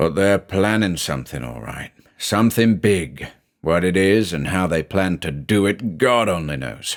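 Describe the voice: What we hear is plain reading aloud.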